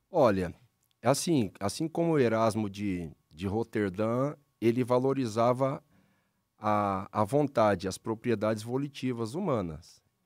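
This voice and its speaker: A man speaks at a very slow pace with lively intonation against a quiet background. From Paraná, Brazil (Londrina); Paraná, Brazil. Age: 40s. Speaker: pastor. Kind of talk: casual religious discussion; interview answer. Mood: calm, explanatory. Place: studio. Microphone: studio mic.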